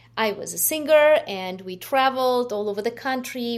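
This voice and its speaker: A woman speaks with a Ukrainian accent. Her pitch variation is ordinary. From Ukraine. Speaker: nonprofit founder. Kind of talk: interview. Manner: halting.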